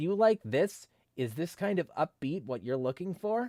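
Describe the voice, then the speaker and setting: This man uses a put-on character voice pitched high, at a moderate pace. The recording is very clean, with a silent background. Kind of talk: commercial, salesy. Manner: upbeat.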